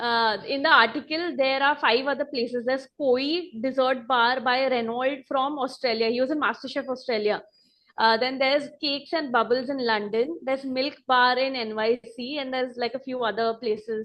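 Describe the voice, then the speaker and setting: A woman with a Marathi accent speaks at a high pitch. Her pace is moderate and her intonation fairly even. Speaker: restaurant owner and pastry chef. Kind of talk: interview. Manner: casual, many fillers.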